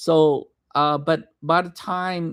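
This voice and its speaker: A man speaks with a Vietnamese accent and fairly even intonation. The recording is very clean with a silent background, and the sound is dry and close with no echo. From Vietnam, raised from age 7 in Madison, Wisconsin. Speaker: vlogger. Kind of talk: personal storytelling livestream. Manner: halting, many fillers and restarts.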